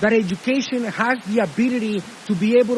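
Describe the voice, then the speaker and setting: With a Spanish accent, a man talks at a fairly quick pace in a high pitch and an animated tone. Noticeable background noise runs underneath. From Honduras. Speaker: commencement speaker. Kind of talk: commencement speech.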